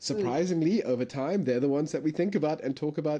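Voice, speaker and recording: The voice has a dark, mellow tone and ordinary pitch variation against a quiet background. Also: man. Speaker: podcast host. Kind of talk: casual interview chat. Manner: occasional stutter, many fillers; animated.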